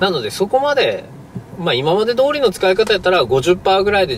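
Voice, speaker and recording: A man talks at a very fast pace in a high pitch. The sound is dry with no echo, and there is noticeable background noise. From Fukuoka, Japan. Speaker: car salesperson. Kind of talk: sales explanation in a car. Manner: polite. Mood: friendly, relaxed. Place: car. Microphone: camera far.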